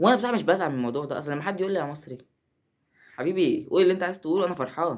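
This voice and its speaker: Talking at a very fast pace, a man with a high-pitched voice sounds animated. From Egypt. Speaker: gaming YouTuber. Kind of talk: casual gameplay commentary.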